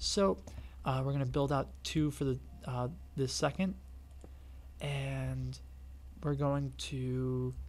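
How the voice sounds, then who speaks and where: A man speaks quietly at a very slow pace, leaving long, frequent pauses. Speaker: gaming youtuber. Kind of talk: tutorial. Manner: quiet, hushed.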